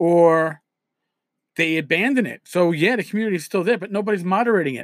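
Talking at a very fast pace in a New York accent, a man uses a high pitch with ordinary pitch variation. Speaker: podcast host, tabletop RPG blogger. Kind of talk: solo podcast monologue. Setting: home recording with USB microphone. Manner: casual, conversational with filler words.

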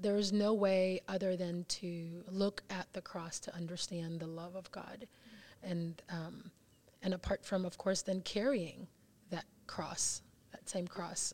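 A woman speaks at a fairly slow pace with a medium pitch and monotone, flat intonation. Her long pauses come often. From Suriname, Venezuela and Curacao. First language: Dutch. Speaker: ministry guest. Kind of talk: casual chat.

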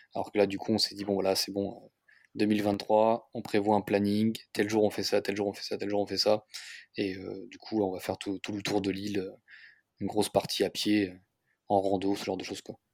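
Loudness swings widely while the intonation stays monotone and flat. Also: man, fairly low pitch for a man, moderate pace. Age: 30s. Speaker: real estate investor and car workshop deputy manager. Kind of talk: casual interview. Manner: halting, many fillers.

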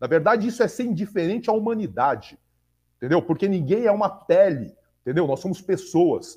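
A dark, mellow voice with lively intonation moves at a fairly quick pace. The background is quiet. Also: man, high pitch for a man. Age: 40s. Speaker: podcast host. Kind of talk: casual chat.

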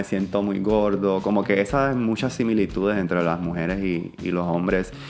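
A man's fairly low voice at a moderate pace, with ordinary pitch variation and music in the background. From Puerto Rico. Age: 30s. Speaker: publicist. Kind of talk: casual chat.

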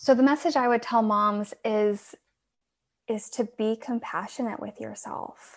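Against a quiet background, a woman talks in a calm tone at a fairly slow pace, her fairly high pitch varying in an ordinary way. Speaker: support group founder. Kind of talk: casual chat.

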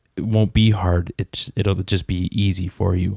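With a Canadian prairie accent, a man speaks at a very slow pace in a very deep, low pitch, his dark, mellow tone somewhat breathy. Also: dry, close sound with no echo. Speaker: guest sharing life story. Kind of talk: testimony.

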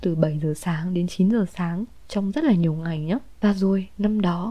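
A woman's dark, mellow voice at medium pitch, moderate in pace, with ordinary pitch variation. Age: 20s. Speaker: podcaster. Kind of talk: personal storytelling monologue.

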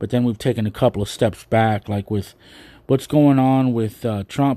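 A man's dark, mellow voice with fairly even intonation, on a very clean recording with a silent background. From United States, Mexican-American. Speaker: podcast host. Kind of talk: solo monologue commentary. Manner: hesitant, many fillers.

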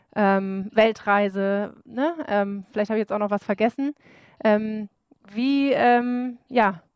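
A woman talks at a very slow pace with a fairly high pitch and ordinary pitch variation. The sound is dry and close, with no echo. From Bremen, northern Germany. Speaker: podcast co-host. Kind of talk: casual chat.

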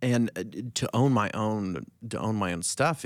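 There's an unremarkable speaking voice here, a man's, at a fairly low pitch with lively intonation. The recording is very clean and the background silent. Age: 40s. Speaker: former pastor. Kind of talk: casual chat.

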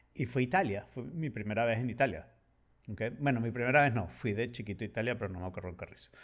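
This man talks at a very fast pace. His voice sits at medium pitch with ordinary pitch variation. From Venezuela, partly raised in Spain. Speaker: podcast co-host. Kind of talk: casual chat.

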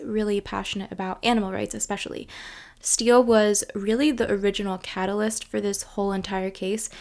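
A woman speaks at a fairly quick pace in a plain, everyday voice, with medium pitch and fairly even intonation. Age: 20s. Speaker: history podcast host. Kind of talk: scripted narration. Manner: casual, filler-heavy with ums and likes.

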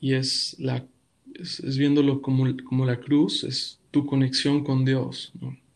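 Speaking at a very slow pace, a man with a medium pitch keeps a calm tone and monotone, flat intonation. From Mexico City. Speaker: pastor. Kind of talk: podcast interview. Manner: halting.

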